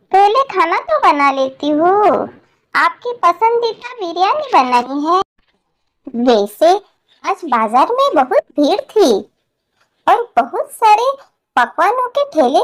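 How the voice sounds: A woman's squeaky, cartoonish character voice at an extremely high pitch, with very wide pitch swings, very even loudness, a fairly slow pace and long, frequent pauses.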